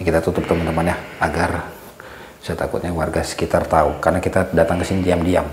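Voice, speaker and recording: A quiet man's very deep, low voice, monotone and flat, at a very fast pace, with audible room echo and noticeable background noise. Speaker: paranormal vlogger. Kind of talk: vlog narration to viewers; confrontational vlog. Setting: outdoors in a village at night. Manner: hushed, lowered voice.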